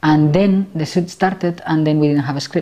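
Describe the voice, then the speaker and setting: The speaker talks at a fairly quick pace with a Spanish accent, a dark, mellow tone and monotone, flat intonation. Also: woman. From Spain. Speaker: film director and actress. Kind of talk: interview. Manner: halting.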